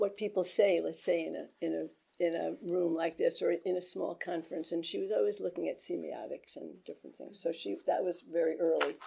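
A woman talks at a fairly quick pace, her loudness swinging widely. Background noise is noticeable. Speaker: guest. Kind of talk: talk to small audience. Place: meeting room.

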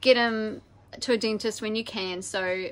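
At a moderate pace, a woman speaks in a bright, sharp tone. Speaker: sailing family vlogger. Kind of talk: casual vlog chat. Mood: concerned but calm. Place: boat. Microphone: phone near.

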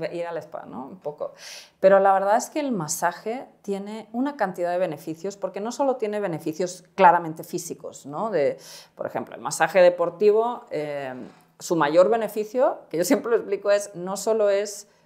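A woman talks at medium pitch and a moderate pace, her tone dark and mellow. Her loudness swings widely against a quiet background. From Spain. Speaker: startup co-founder; guest. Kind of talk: interview. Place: studio. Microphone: lapel.

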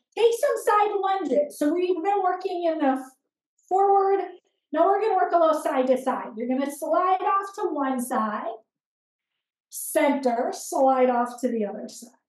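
The tone is calm, with very wide pitch swings and a fairly slow pace. Room echo is audible. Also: woman, extremely high pitch for a woman. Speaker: fitness instructor. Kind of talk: live-style follow-along exercise class cueing reps and breath. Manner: steady rhythmic counting cues, calm and encouraging; gentle, instructive with imperative step-by-step directions. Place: home room.

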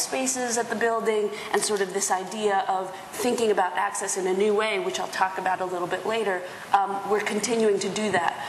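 There is audible room echo and light background noise. A woman speaks with an American accent. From US, Spanish and Dominican heritage. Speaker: theatre producer. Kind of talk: panel discussion. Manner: casual, animated. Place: hall.

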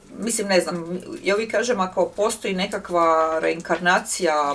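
At a moderate pace, a woman talks in a plain, everyday voice with a fairly low pitch and ordinary pitch variation. Light background noise sits behind her. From Zagreb, Croatia; Croatia. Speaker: writer and workshop leader; guest. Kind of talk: public talk interview. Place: home room.

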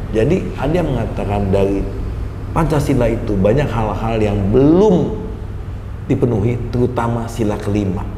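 A man's medium-pitched voice at a moderate pace, with ordinary pitch variation, audible room echo and light background noise. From Indonesia, Lampung (Telukbetung). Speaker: Senate (DPD) candidate, businessman. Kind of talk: interview. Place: office. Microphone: lapel.

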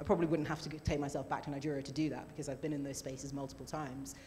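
With a British accent, a woman speaks at a very deep, low pitch over light background noise. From UK. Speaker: novelist; panel author. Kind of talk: panel discussion. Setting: stage with live audience. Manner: hesitant, many fillers and repeats. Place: stage. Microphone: handheld.

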